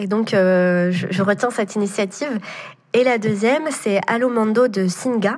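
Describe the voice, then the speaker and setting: Pitched at a medium level for a woman, her voice shows ordinary pitch variation. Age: 20s. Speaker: entrepreneur. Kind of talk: interview. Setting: remote recording. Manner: hesitant, many fillers.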